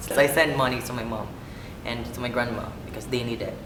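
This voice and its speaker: A man talks amid noticeable background noise, with room echo clearly audible. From Philippines. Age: 20s. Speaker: office assistant and band vocalist. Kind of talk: documentary interview. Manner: hesitant, many fillers and repeats.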